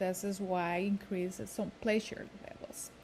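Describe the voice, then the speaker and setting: A woman at a fairly slow pace, somewhat breathy, with a dark, mellow tone. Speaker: student. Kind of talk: class presentation. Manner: halting, with fillers and self-corrections.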